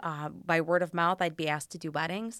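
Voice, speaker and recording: A woman speaks at a fairly quick pace in a dry, close sound with no echo. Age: 50s. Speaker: small business owner. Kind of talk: interview. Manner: animated.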